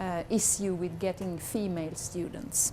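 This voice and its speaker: In a Swedish accent, a woman speaks at a moderate pace. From Sweden. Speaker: university communications head. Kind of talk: conference talk. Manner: halting.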